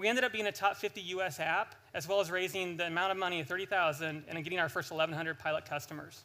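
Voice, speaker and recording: A man speaks very fast in a raised, projected voice. His pitch is high and his tone bright and sharp. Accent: American. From United States. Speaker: startup founder. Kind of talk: sales pitch. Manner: animated.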